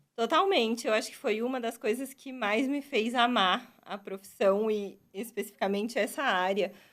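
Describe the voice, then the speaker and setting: A woman's unremarkable speaking voice at a fairly high pitch, with ordinary pitch variation, a moderate pace and hardly any pauses, on a very clean recording with a silent background. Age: 20s. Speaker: dentist and university professor. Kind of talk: interview answers.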